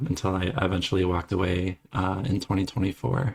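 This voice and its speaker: A man talks with a Midwestern accent in a very deep, low voice. The voice is somewhat breathy. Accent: American Midwestern. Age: 30s. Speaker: former software developer. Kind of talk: interview. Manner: halting, many fillers.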